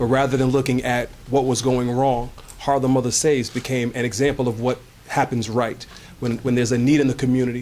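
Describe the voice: At a fairly quick pace, a man speaks with medium pitch, a slightly mellow tone and little pitch movement.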